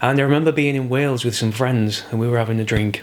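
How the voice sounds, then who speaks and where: Someone with a Yorkshire accent speaks at a very fast pace with ordinary pitch variation. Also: man. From Yorkshire, England. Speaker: crime novelist. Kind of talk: interview answer.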